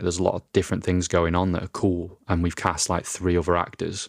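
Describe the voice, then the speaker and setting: With a British accent, a man speaks at a very deep, low pitch in a dry, close sound with no echo on a very clean recording with a silent background. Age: 30s. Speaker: podcast host, filmmaker. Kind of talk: solo podcast monologue. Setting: home recording in a flat.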